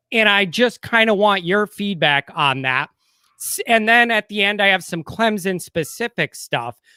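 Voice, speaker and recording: A man with a Chicago accent projects a raised, high-pitched voice with a bright, sharp tone and lively intonation at a moderate pace. The recording is very clean with a silent background and a dry, close sound with no echo. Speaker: sports YouTuber, co-host. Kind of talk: casual sports podcast chat.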